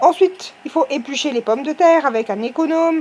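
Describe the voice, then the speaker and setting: A woman with an Alsatian accent at a moderate pace, ordinary pitch variation and noticeable background noise. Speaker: cooking video host. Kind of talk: casual talk to camera. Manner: humorous, chatty.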